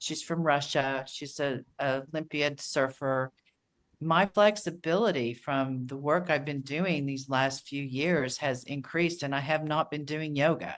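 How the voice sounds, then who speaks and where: A woman speaks at a fairly slow pace with a very deep, low pitch and fairly even intonation. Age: 60s. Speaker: author and coach. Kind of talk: casual chat.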